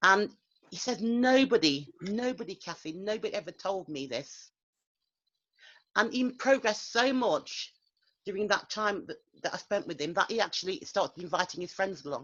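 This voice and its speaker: A medium-pitched woman's voice at a moderate pace, with very wide pitch swings and a quiet background. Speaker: English teacher. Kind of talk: recounting teaching experience in group coaching. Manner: halting, many fillers and repetitions.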